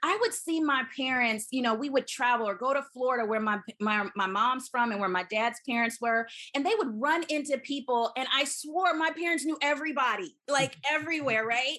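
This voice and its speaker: Speaking at a moderate pace, a woman with an American accent has a high-pitched voice. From US South, Huntsville, Alabama. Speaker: physician (OB-GYN). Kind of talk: interview.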